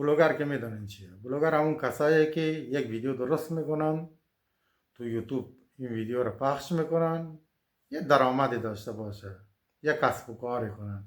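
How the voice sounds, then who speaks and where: A man talks at a moderate pace with ordinary pitch variation in a very clean recording with a silent background. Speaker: fortune teller. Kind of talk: casual monologue. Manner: colloquial, informal.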